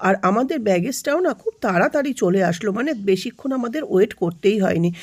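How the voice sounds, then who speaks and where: A woman talks with lively intonation. She has an ordinary speaking voice. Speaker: vlogger. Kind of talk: travel vlog narration.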